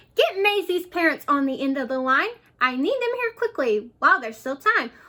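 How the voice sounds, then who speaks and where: A woman performs a put-on character voice, squeaky and extremely high in pitch. She moves at a fairly quick pace, with very wide pitch swings. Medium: read story.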